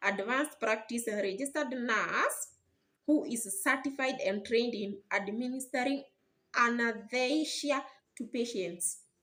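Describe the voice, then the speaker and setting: At a fairly slow pace, a woman with a non-native accent speaks in a high voice. Her intonation is lively. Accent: non-native, may mispronounce words. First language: not English. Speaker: YouTuber explaining nursing careers. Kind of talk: educational explainer video. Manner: halting, with repetitions and restarts.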